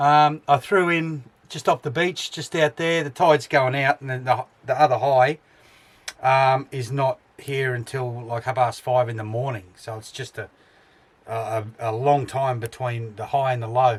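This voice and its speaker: Somewhat breathy, a man with an Australian accent talks at a fairly slow pace and a medium pitch. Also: ordinary pitch variation, big swings in loudness. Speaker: travel vlogger. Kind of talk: casual vlog narration. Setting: outdoors at a beach camp. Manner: hesitant, many fillers.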